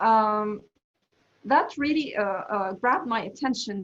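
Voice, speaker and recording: A somewhat breathy woman's voice, fairly high in pitch, with ordinary pitch variation at a moderate pace. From Egypt, Alexandria. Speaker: English teacher. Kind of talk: interview answers. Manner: halting, many fillers.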